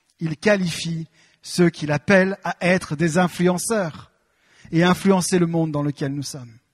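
The man's voice is high-pitched and animated. He speaks at a fairly slow pace over a quiet background. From France. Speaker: preacher. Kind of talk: sermon. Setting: church. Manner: animated, exhortative, directly addressing the congregation; earnest, with hesitation fillers. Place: church. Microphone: handheld.

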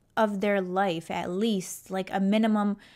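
Behind the woman's voice, the background stays quiet. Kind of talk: casual reaction commentary. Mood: amused, mildly critical. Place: home room. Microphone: studio mic.

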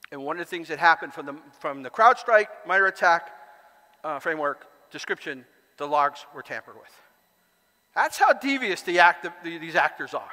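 With a bright, sharp tone and high pitch, a man talks fairly quickly with lively intonation, big swings in loudness and long, frequent pauses, over a quiet background. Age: 60s. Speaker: conference speaker and author; conference speaker. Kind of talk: conference talk. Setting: stage with audience. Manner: halting. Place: hall.

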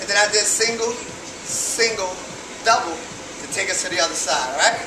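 With ordinary pitch variation at a moderate pace, a man speaks at an extremely high pitch against noticeable background noise. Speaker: fitness instructor. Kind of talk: tutorial. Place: gym. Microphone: camera far.

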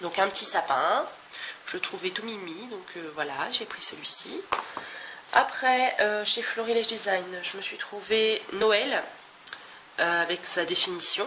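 Speech delivered very slowly, broken by long and frequent pauses, with background noise clearly audible. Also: woman, medium pitch for a woman. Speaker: scrapbooking vlogger. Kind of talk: casual chat. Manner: chatty, hesitant.

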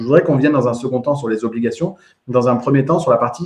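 A man's medium-pitched voice against a quiet background. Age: 30s. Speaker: podcast host and real estate trainer; podcast host, real estate trainer. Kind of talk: live interview. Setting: live video stream. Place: home room. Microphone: earbuds.

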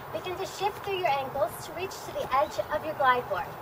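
Over noticeable background noise, a woman talks at a fairly quick pace in an extremely high pitch, with lively intonation. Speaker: fitness instructor. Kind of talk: tutorial. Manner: clear, instructional cueing, steady and upbeat.

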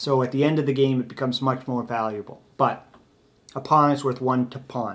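At a fairly quick pace, a man talks in a monotone with flat intonation. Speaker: chess teacher. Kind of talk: tutorial. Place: home room. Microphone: camera far.

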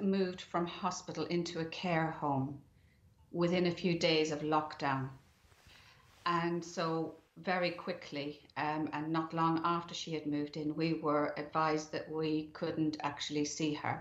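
A woman's very deep, low voice, fairly slow and monotone with flat intonation, with audible room echo. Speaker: bereaved family member. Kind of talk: interview. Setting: remote link from home. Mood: grieving, calm, sombre. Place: home room. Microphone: webcam.

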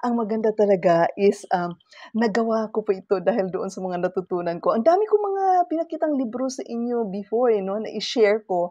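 A woman at a fairly quick pace, her intonation lively, the sound dry with no echo. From Philippines. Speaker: lifestyle vlogger. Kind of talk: casual vlog talk to camera. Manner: halting, many fillers. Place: home room. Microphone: webcam.

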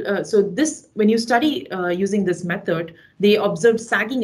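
A woman's somewhat breathy voice at medium pitch, with lively intonation, a moderate pace and a quiet background. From India, Chennai; India. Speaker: mechanical engineer, researcher; webinar presenter. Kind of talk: webinar lecture. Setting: video call. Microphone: video call.

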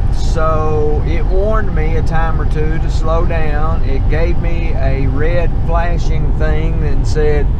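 Loud background noise surrounds the speech. The pace is very slow, and the sound is dry with no echo. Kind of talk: casual vlog chat. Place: car. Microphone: camera far.

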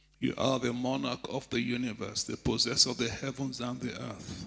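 A bright, sharp voice with vocal fry moves at a moderate pace. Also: man. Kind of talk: prayer. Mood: reverent, fervent. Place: church. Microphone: handheld.

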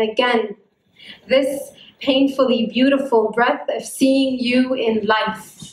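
Audible room echo surrounds a woman who speaks at a very slow pace in a high pitch. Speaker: poet. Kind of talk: spoken word poetry performance. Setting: live event. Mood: tender, emotional. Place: hall. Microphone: handheld.

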